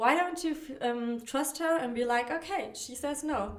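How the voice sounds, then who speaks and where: Amid audible room echo, a woman with a non-native accent speaks at a fairly slow pace with lively intonation. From not America. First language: not English. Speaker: dating coach podcaster. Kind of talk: solo podcast monologue. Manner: casual, with many fillers and restarts.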